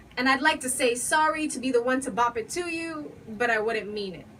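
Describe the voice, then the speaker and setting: A woman speaks with a high pitch. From Bahamas. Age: young. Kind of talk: spoken word poetry performance. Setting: live open mic.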